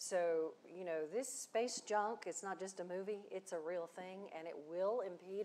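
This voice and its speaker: At a moderate pace, a woman talks with ordinary pitch variation. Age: 60s. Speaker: space industry veteran and education leader; panelist. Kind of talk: panel discussion. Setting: stage with live audience. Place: stage. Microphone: lapel.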